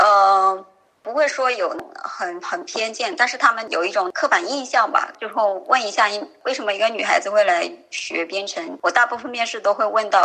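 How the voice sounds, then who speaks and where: In an unremarkable speaking voice, a woman talks at medium pitch. She keeps a moderate pace and lively intonation. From rural China. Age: 20s. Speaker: software programmer. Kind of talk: interview.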